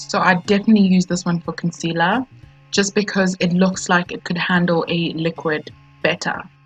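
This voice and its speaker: Music plays behind a woman with a South African accent. She speaks at a moderate pace. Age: 20s. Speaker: beauty youtuber. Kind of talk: product review to camera. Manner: casual, friendly.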